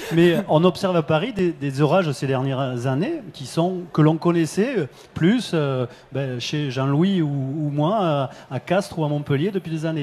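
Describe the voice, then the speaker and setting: Fairly slow in pace, this man has a fairly high pitch, a dark, mellow tone and ordinary pitch variation. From southern France. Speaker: company head, risk forecasting expert. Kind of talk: panel discussion. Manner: hesitant, many fillers.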